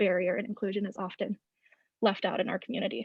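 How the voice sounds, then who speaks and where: A woman talks very fast with an American accent. Her voice is somewhat breathy, with ordinary pitch variation. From Wisconsin (Wausau). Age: young. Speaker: college student panelist. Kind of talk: panel discussion. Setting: video call.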